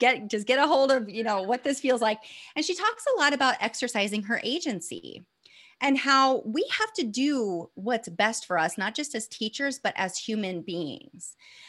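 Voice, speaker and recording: Lively in intonation, a woman with a Midwestern American accent speaks at a high pitch and a moderate pace. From US Midwest, northeast Indiana. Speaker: former teacher, burnout coach. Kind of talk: casual interview.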